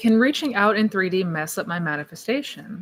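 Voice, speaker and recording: With lively intonation and a medium pitch, a woman talks at a moderate pace in a dry, close sound with no echo. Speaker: manifestation coach. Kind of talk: live Q&A. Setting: livestream. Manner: methodical.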